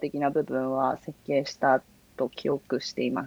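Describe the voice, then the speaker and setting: A woman is heard in a dry, close recording with no echo. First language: bilingual Japanese and English (speaking Japanese). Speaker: software engineer. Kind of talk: casual tech interview.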